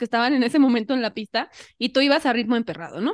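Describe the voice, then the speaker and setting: A woman speaks very fast in a high voice with ordinary pitch variation against a quiet background. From Mexico, Xalapa (Veracruz). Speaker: podcast host, amateur runner. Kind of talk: casual chat.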